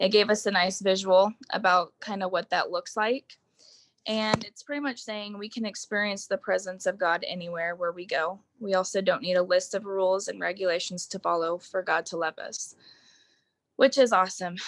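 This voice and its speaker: A woman speaks in an unremarkable speaking voice at medium pitch and a moderate pace, with fairly even intonation, big swings in loudness, and a dry, close sound with no echo. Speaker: Bible study group leader. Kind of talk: group book study discussion.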